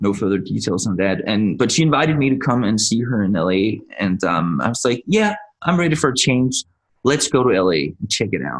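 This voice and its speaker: A man's fairly low voice with vocal fry, a fairly quick pace and very wide pitch swings. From Denmark. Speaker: actor and entrepreneur. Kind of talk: interview.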